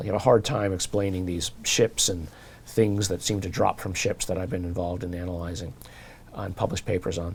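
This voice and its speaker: A man speaks at a fairly quick pace in a fairly low, somewhat breathy voice. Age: 60s. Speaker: professor and researcher. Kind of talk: interview. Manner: halting.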